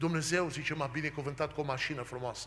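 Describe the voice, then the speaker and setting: At a moderate pace, a man speaks in a bright, sharp tone with ordinary pitch variation. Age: 40s. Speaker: preacher. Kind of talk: sermon. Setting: church. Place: church. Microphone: podium.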